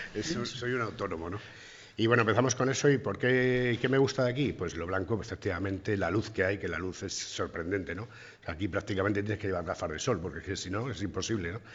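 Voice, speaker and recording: The pace of this man's speech is very fast. Variation in his pitch is ordinary. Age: 50s. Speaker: bar owner. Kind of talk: interview.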